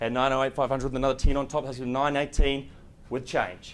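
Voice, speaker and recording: A man's medium-pitched voice, monotone and flat in intonation, moves at a fairly quick pace. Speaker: auctioneer. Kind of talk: live property auction call.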